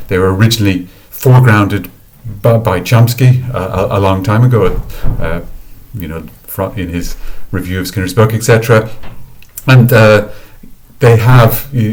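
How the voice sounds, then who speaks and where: Breathy at times, a man with an Irish accent speaks at a moderate pace and a fairly low pitch. Long, frequent pauses and audible room echo mark the clip. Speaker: academic researcher. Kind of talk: lecture. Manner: halting, many fillers and repetitions.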